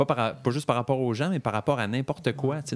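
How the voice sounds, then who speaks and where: Spoken in a Quebec accent at a fairly quick pace with ordinary pitch variation, the voice comes through a very clean, dry, close recording with a silent background and no echo. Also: man. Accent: Québécois French. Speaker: podcast co-host. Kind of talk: casual chat.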